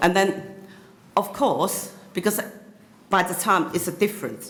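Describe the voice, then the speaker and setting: A fairly slow pace and fairly even intonation, with a Cantonese accent. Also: woman, medium pitch for a woman. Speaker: YouTuber. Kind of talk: interview. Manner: halting, many fillers.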